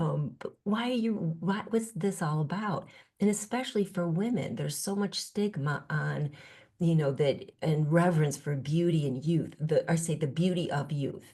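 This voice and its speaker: This woman talks at a moderate pace with lively intonation and a fairly low pitch. Her tone is dark and mellow, and somewhat breathy. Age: 60s. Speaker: spiritual teacher and author. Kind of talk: podcast interview. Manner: reflective, with many fillers and restarts.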